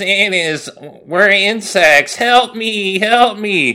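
A man speaks at a very slow pace in a put-on character voice. His pitch is high. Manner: pleading, deliberately grating.

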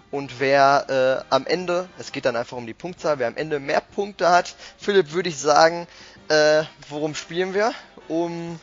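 Over music in the background, a man with a fairly high pitch talks at a moderate pace, his pitch varying in an ordinary way while his loudness swings widely. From Ruhr area, Germany (Bochum). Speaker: podcast host. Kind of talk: casual chat.

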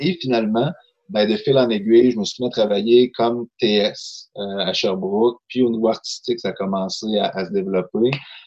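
An unremarkable speaking voice from a man, medium in pitch with ordinary pitch variation, at a moderate pace. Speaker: novelist, poet and social worker. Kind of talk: casual chat.

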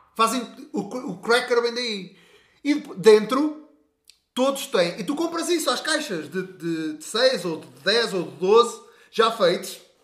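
An extremely high-pitched man at a very slow pace, with very wide pitch swings, big swings in loudness and long, frequent pauses. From rural Portugal. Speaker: podcast co-host. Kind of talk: casual chat.

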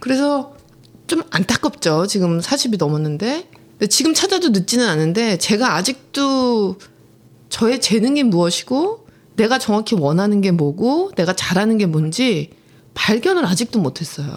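Speaking fairly slowly, a woman uses a fairly high voice with very wide pitch swings and very even loudness. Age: 40s. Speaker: podcast co-host. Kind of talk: casual chat.

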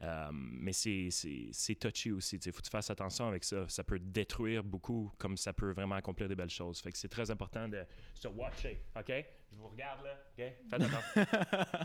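With lively intonation and an animated tone, a man with a fairly low pitch speaks at a moderate pace. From Quebec, Gatineau. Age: 20s. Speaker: magician. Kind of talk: radio interview. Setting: studio.

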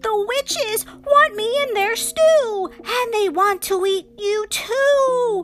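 A woman uses a put-on character voice, shrill and extremely high in pitch. She speaks at a very slow pace. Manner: screeching.

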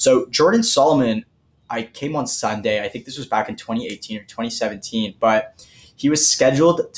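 Speaking with a Toronto accent, a man uses fairly even intonation at a moderate pace. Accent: Canadian English (Toronto). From Toronto area, Canada. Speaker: podcast host. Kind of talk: casual chat.

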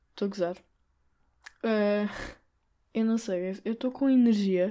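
With a European Portuguese accent, the voice has a dark, mellow tone and fairly even intonation at a fairly slow pace, on a very clean recording with a silent background. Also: woman. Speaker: podcast host. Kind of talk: solo monologue. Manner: hesitant, many fillers.

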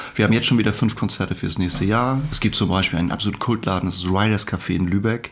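Noticeable background noise sits behind a man speaking at a very fast pace and a fairly low pitch. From northern Germany, Schleswig-Holstein (Hohenwestedt). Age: 50s. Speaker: musician and secondary school teacher. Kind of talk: casual chat.

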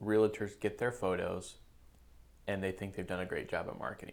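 A man talks at a fairly quick pace. He has a normal speaking voice, fairly low in pitch. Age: 30s. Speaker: real estate agent and podcast host. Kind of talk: casual interview chat.

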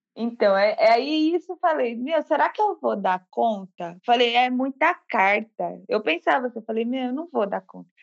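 This woman's voice is high-pitched and swings very widely, at a fairly slow pace with hardly any pauses. The sound is dry and close, with no echo. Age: 30s. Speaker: massage therapist and tarot student. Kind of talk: casual interview.

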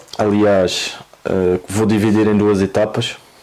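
With a Madeiran accent, this voice comes through monotone and flat against noticeable background noise. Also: man. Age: 20s. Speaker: football coach. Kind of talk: interview.

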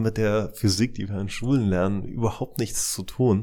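A man with a bright, sharp tone speaks at a fairly low pitch with fairly even intonation. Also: very clean recording, silent background. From East Germany. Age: 40s. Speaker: CEO of a futures research institute. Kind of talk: interview. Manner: halting with frequent repetitions.

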